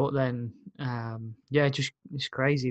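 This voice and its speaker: The sound is dry and close with no echo and a quiet background as a man speaks at a medium pitch. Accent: Brummie. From Birmingham, England. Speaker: podcast host and music promoter. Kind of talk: casual chat.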